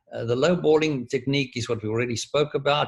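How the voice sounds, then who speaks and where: Speaking at a fairly quick pace, a man with a medium pitch sounds somewhat breathy and shows ordinary pitch variation. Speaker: professor. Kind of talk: lecture. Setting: video call.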